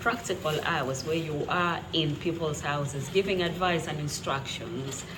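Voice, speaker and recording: A woman with an East African accent and a fairly low pitch at a fairly slow pace, with audible room echo and noticeable background noise. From Kenya. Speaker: trainee maternity nurse and vlogger. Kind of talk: casual vlog talk. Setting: at home making lunch.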